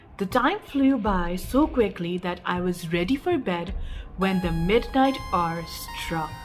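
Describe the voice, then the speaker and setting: A woman's somewhat breathy voice, very slow, with lively intonation. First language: not English. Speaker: storyteller. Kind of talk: reading aloud.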